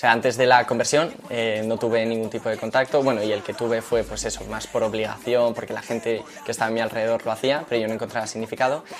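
Over noticeable background noise, a man of medium pitch rattles on at a very fast pace with hardly any pauses, his intonation monotone and flat. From Madrid, Spain. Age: 20s. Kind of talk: interview testimony.

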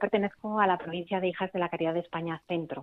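A woman talks at a fairly quick pace in an ordinary speaking voice. Her intonation stays fairly even. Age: 40s. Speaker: nun and nurse. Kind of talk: radio interview testimony.

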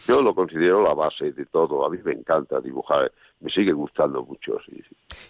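His volume rising and falling in big swings, a man delivers his words at a moderate pace. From Extremadura, Spain (Monesterio, Badajoz). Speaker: painter. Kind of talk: interview.

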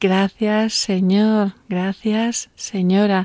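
On a very clean recording with a silent background, a woman speaks at medium pitch in a dark, mellow tone, the sound dry and close with no echo. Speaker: radio host. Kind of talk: radio show. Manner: animated.

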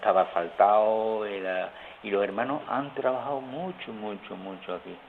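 A man speaks with an Andalusian accent at a fairly low pitch. His pace is moderate, with noticeable background noise. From rural Seville province, Andalusia. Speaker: friar. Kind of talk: phone interview. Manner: halting.

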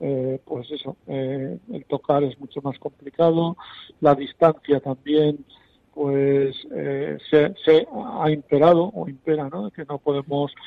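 A very slow, fairly high-pitched male voice with big swings in loudness. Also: ordinary pitch variation. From Spain, Soria (Castile). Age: 50s. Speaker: writer, blind contributor. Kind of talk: interview testimony.

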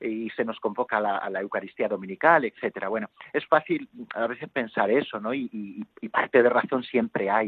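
At a fairly quick pace, a man talks in an ordinary speaking voice of medium pitch, with ordinary pitch variation. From Spain, Toledo province (near Talavera de la Reina). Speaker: priest. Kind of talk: phone interview. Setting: phone call.

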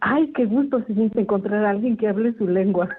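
With fairly even intonation, a woman speaks at a fairly high pitch. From Mexico, Puebla. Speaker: nun. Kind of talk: radio interview.

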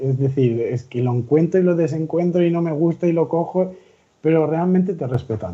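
Somewhat breathy and dark, mellow in tone, a man talks at a moderate pace with very wide pitch swings. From Valencia region, Spain (near Gandía). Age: 30s. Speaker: lay missionary volunteer. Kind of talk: radio interview. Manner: halting.

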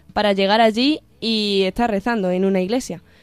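Her voice is an unremarkable speaking voice, set at a medium pitch for a woman with fairly even intonation. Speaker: university student. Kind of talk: casual chat.

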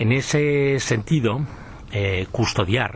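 A man speaks very slowly while noticeable background noise fills the recording. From Aragón, Spain. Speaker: forestry and environmental expert. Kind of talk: radio interview.

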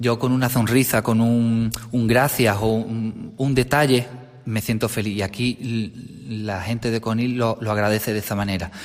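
Amid noticeable background noise, a man talks at a fairly slow pace with fairly even intonation. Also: medium pitch for a man. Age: 30s. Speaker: parish sacristan. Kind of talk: radio interview. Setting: radio studio. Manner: halting, repeats words.

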